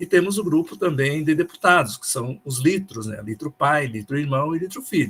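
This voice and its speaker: A man's somewhat breathy voice, fairly high in pitch, with ordinary pitch variation and a moderate pace. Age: 70s. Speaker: school principal and teacher. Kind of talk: online meeting presentation. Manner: halting.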